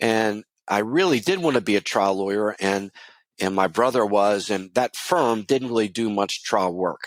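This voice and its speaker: In a very clean recording with a silent background, a man speaks at a fairly low pitch with ordinary pitch variation. His loudness stays very even, and the sound is dry and close with no echo. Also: moderate pace. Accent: Baltimore. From US, Baltimore, Maryland. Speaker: lawyer and coach. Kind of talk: interview.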